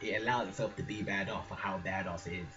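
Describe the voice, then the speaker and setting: Amid audible room echo and noticeable background noise, this man keeps up a fairly quick pace. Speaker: gaming vlogger. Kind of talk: casual chat. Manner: soft-spoken; animated.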